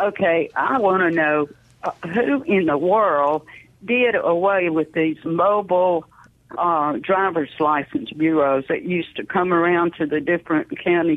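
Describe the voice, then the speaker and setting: Speaking fairly slowly in a Southern US accent, a woman keeps a fairly low pitch, ordinary pitch variation and very even loudness. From Mississippi. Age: 70s. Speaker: caller. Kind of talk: call-in question. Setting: phone call.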